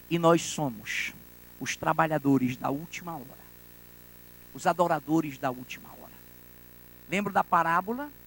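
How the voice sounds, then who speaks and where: This man has a high-pitched voice and big swings in loudness. He leaves long, frequent pauses. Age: 60s. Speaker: pastor. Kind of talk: sermon. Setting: church.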